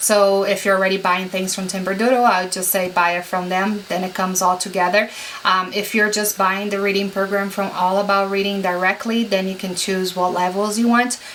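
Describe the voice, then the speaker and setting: A woman with a non-native accent speaks fairly quickly with hardly any pauses, at a medium pitch. Her intonation is monotone and flat, and noticeable background noise is present. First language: not English. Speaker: homeschooling parent vlogger. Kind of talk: product haul review. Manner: casual, many fillers.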